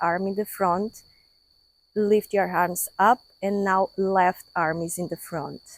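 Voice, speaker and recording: A woman with a non-native accent speaks very slowly in a flat monotone at a medium pitch, the sound dry and close with no echo. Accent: non-native English, noticeable. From Portugal. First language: Portuguese. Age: 50s. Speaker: yoga teacher. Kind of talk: guided yoga class. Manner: calm, instructive.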